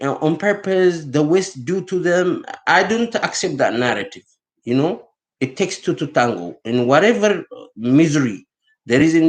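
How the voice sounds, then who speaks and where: Against a quiet background, a man's speech moves at a moderate pace. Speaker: vlogger. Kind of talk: unscripted monologue. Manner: halting, with false starts.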